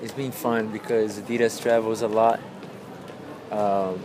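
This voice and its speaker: A man with a Portuguese accent and a fairly low pitch speaks at a moderate pace in a monotone, flat intonation, with audible room echo and noticeable background noise. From Brazil, São Paulo. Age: 30s. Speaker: pro skateboarder. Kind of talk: interview.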